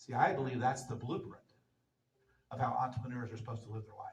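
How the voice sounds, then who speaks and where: A man with an American accent and an animated, somewhat breathy voice. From US Midwest, southwest Missouri. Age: 60s. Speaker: entrepreneur speaker. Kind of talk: motivational talk.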